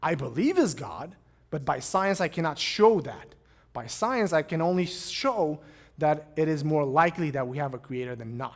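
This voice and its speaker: A man speaks with a Romanian accent at a moderate pace. His pitch swings very widely. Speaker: pastor. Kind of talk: lecture; Q&A answers.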